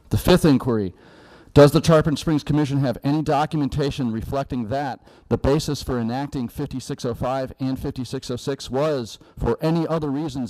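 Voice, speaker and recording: A man speaks at a fairly quick pace and a fairly high pitch, with a dark, mellow tone and ordinary pitch variation. The recording is very clean, with a silent background. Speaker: public commenter at city meeting. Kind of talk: public comment; prepared statement read aloud. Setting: city commission meeting. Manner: formal.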